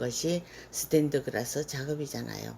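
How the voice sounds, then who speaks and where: The voice moves at a fairly slow pace with a dark, mellow tone. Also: woman. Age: 60s. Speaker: stained glass instructor, retired teacher. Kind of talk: scripted self-introduction vlog.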